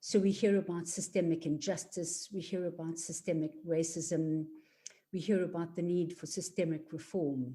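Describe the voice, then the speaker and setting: Somewhat breathy and dark, mellow in tone, this voice with a South African accent moves at a moderate pace with ordinary pitch variation. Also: woman. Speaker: equality and diversity facilitator. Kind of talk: workshop presentation.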